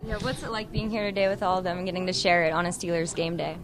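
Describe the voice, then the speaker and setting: Amid noticeable background noise, a woman talks at a very fast pace with a medium pitch and fairly even intonation. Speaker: sports reporter. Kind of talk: interview questions.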